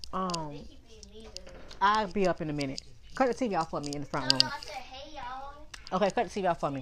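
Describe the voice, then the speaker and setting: A woman's fairly low-pitched voice at a fairly quick pace, with big swings in loudness, long and frequent pauses, and noticeable background noise. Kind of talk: casual monologue. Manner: casual, filler-heavy.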